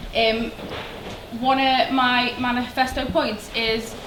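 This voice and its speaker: A high-pitched woman's voice with a Liverpool accent, flat and monotone, with noticeable background noise and audible room echo. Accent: Liverpool (Scouse). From Liverpool, England. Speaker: student union election candidate. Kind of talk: campaign speech. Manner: hesitant, many fillers.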